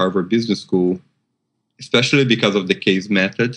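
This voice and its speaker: A man is talking at a fairly quick pace. His pitch varies in an ordinary way. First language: not English. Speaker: MBA alumnus. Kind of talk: interview. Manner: halting, many fillers and repeats.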